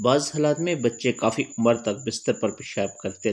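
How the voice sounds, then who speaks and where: A man talks in a normal speaking voice. His pitch varies in an ordinary way. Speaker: voice actor. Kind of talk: religious remedy narration.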